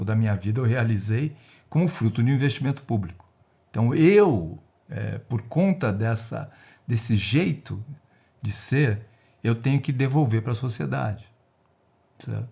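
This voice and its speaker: The voice has a dark, mellow tone and vocal fry, with lively intonation, a fairly slow pace and long, frequent pauses. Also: man, medium pitch for a man. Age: 60s. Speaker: retired risk analyst and researcher. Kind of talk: podcast interview.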